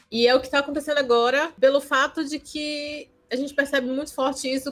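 A woman with a high pitch, ordinary pitch variation and a moderate pace. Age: 20s. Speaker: architect and anime event presenter. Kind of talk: casual chat. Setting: video call.

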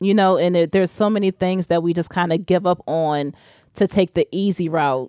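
A woman with an American accent speaks in a plain, everyday voice at a fairly low pitch. Her intonation is fairly even, her loudness very even and her pace moderate. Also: dry, close sound with no echo. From Richmond, Virginia, US. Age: 30s. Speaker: doula and breastfeeding support moderator. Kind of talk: casual interview chat. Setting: podcast recording.

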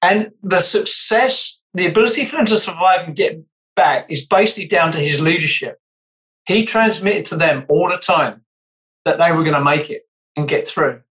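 Speaking with a British accent, a man uses a high pitch and ordinary pitch variation at a moderate pace. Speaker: podcast co-host. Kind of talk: casual interview conversation.

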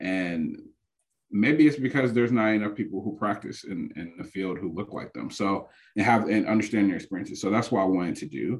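A man's plain, everyday voice at a fairly low pitch with ordinary pitch variation and a fairly quick pace. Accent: American. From Detroit, Michigan (west side). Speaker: public health professor. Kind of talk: casual interview.

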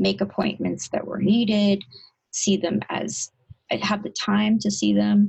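The woman talks at a very slow pace. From abroad, came to US at seven. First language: not English. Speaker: psychiatrist. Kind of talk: interview. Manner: halting, with repetitions and fillers.

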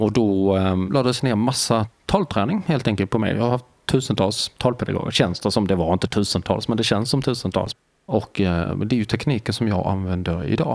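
At a moderate pace with hardly any pauses and very even loudness, a man speaks at a fairly low pitch in an unremarkable speaking voice. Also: ordinary pitch variation. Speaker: deafblind artist, author and lecturer. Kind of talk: casual interview. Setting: hotel.

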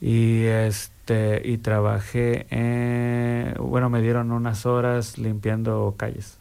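Speaking at a very slow pace, a man with a medium pitch keeps a monotone, flat intonation. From Mexico. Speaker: recovering alcoholic. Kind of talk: testimony.

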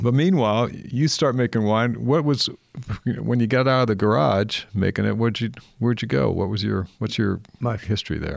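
A plain, everyday voice in an American accent, at a moderate pace with lively intonation. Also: man. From California, Napa Valley. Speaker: podcast host and vintner. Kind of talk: casual interview.

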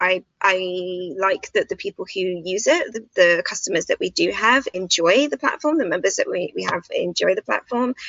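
Here is a woman with a British accent. She keeps a moderate pace with hardly any pauses. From Britain. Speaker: destination wedding planner and YouTuber. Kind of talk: casual interview. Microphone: connection dropping.

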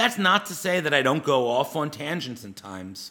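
Vocal fry runs through a man's fairly high-pitched voice, bright and sharp in tone, with very wide pitch swings at a moderate pace. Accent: American. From US East Coast. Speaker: podcast host and media project founder. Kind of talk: solo monologue podcast, partly scripted.

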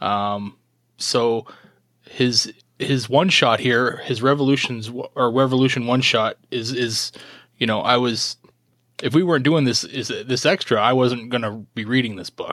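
This man has a Canadian accent and an unremarkable speaking voice, pitched in the medium range. His pace is fairly slow and his intonation fairly even. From Canada. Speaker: podcast co-host. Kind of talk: casual chat. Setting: video call.

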